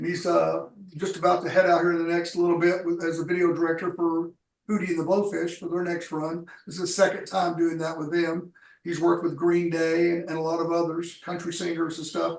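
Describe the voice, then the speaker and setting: In an American accent, a man speaks at a fairly quick pace and a high pitch. His intonation is monotone and flat. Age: 60s. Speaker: tour transport and logistics professional. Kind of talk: radio interview.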